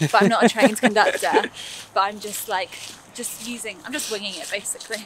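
A woman with a London accent talks at a very fast pace, broken by long, frequent pauses, and her loudness swings a lot. The sound is dry with no echo, and there is light background noise. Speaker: music producer, singing teacher, voiceover artist. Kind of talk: casual interview while walking. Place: waterside. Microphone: phone near.

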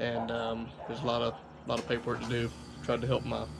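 A man speaks over noticeable background noise. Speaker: car vlogger. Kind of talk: personal vlog talk about a loss. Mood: somber, grieving. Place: home room. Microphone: camera far.

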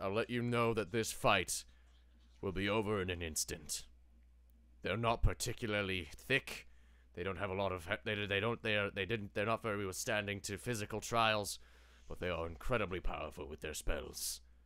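Moderately paced, fairly low-pitched put-on character voice from a man. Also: very clean recording, silent background. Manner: grand, wry, slightly archaic.

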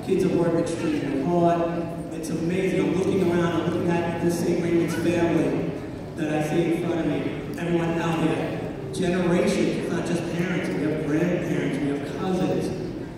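The voice stays monotone and flat over strong room echo and noticeable background noise. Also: man, high pitch for a man, moderate pace. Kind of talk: welcome speech. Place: hall. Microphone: pa.

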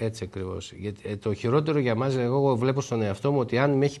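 A man speaks at a very fast pace. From Greece, Thessaloniki; Greece. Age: 50s. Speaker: shopkeeper and business association president; interview guest. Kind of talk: TV interview. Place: studio. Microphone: lapel.

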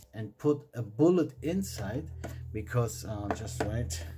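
Speaking at a very slow pace, a man sounds somewhat breathy, with a dark, mellow tone and light background noise. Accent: German. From Germany. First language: German. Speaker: miniature painting YouTuber. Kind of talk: tutorial. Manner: casual, hesitant with fillers. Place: home room.

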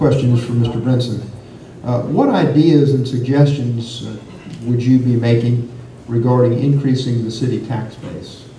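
A man's medium-pitched, monotone, flat delivery at a moderate pace, with audible room echo and light background noise. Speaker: forum moderator. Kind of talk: moderated forum. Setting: stage with audience. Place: meeting room. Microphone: camera far.

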